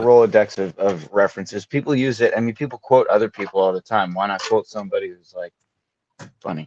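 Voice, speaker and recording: A man with a New York accent at a very fast pace and medium pitch, with big swings in loudness and a dry, close sound with no echo. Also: ordinary pitch variation. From Brooklyn, New York. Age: 30s. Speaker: actor, production company owner. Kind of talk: casual podcast conversation.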